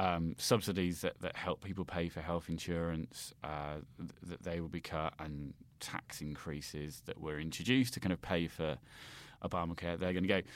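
Speaking with a British accent, a man has a very deep, low pitch and fairly even intonation. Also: moderate pace. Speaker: political commentator. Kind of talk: casual chat. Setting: remote call. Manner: halting, many fillers and repetitions.

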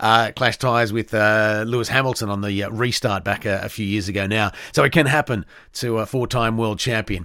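A man talks in an Australian accent at a fairly quick pace and fairly low pitch. His intonation is fairly even, and the recording is very clean with a silent background. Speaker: motorsport podcast host. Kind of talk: solo podcast commentary. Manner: halting, many fillers.

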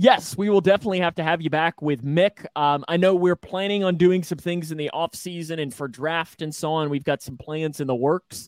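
At a fairly quick pace, an ordinary speaking voice with ordinary pitch variation. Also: man, fairly high pitch for a man. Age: 20s. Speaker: sports podcast host. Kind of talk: casual chat.

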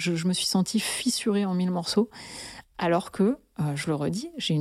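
Here a woman speaks at a fairly quick pace in a fairly low pitch with ordinary pitch variation. Her tone is dark and mellow, and the recording is very clean with a silent background. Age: 30s. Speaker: listener sharing personal story. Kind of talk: testimony.

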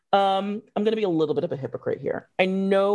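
Over a quiet background, a woman uses a normal speaking voice with ordinary pitch variation. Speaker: magazine editor and podcast host. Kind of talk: casual interview.

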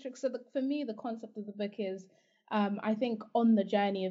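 A woman speaks in a somewhat breathy voice. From Zimbabwe. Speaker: life coach. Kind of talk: interview conversation.

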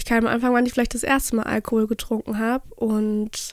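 A woman speaks in a high pitch. She keeps a moderate pace. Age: 20s. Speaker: content creator. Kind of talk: casual chat.

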